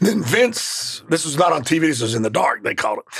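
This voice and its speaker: A man talks at a very fast pace with a Southern accent and a fairly high pitch. Noticeable background noise runs underneath. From Mississippi. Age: 50s. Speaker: professional wrestler. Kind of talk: interview. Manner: animated.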